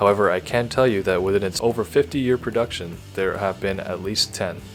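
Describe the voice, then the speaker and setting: A man talks at a fairly quick pace in a fairly low voice. Music plays in the background. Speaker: car video narrator. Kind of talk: casual comedic fact narration. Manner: sleepy, bored.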